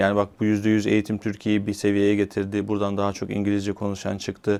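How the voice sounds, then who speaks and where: This man's voice sits at a fairly low pitch. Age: 40s. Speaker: TV and radio presenter. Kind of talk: interview. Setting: studio.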